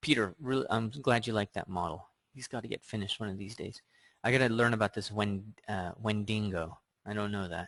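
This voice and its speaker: This man has a plain, everyday voice, fairly low in pitch with ordinary variation, speaking at a fairly quick pace in a dry, close sound with no echo. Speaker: 3D sculpting instructor. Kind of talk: live tutorial Q&A stream. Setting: live stream with screen share. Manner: casual with filler words.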